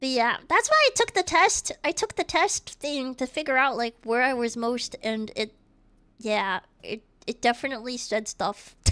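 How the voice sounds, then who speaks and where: A woman's high, bright, sharp voice, raised and projected, with an American accent, lively intonation and a moderate pace, in a dry, close sound with no echo and a very clean recording against a silent background. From US South, Georgia-Florida border. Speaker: streamer. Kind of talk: casual chat.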